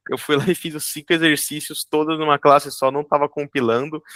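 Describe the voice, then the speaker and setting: In a very clean recording with a silent background and a dry, close sound with no echo, a man with an ordinary speaking voice talks fairly quickly at a fairly high pitch with fairly even intonation. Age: 20s. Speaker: junior software developer and student. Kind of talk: interview.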